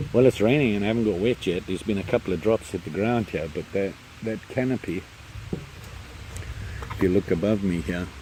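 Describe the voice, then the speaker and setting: Mumbling at a moderate pace, a man speaks with a very deep, low pitch. His pitch variation is ordinary, and there is noticeable background noise. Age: old. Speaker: camping vlogger. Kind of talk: casual vlog. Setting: outdoors, campsite in rain.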